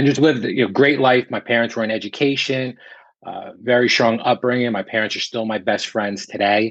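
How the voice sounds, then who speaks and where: Speaking at a moderate pace with a slight New Jersey accent, a man uses ordinary pitch variation. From central New Jersey. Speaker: real estate broker. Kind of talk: interview.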